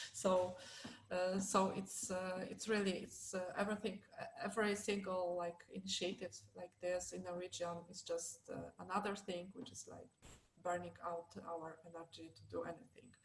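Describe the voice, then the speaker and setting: A woman of medium pitch talks at a moderate pace with monotone, flat intonation. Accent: Polish. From southern Poland, small city near Krakow. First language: Polish. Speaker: LGBT+ activist. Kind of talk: panel discussion. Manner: halting, many fillers.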